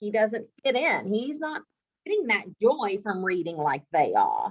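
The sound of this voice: At a fairly slow pace, a woman speaks at medium pitch with big pitch swings.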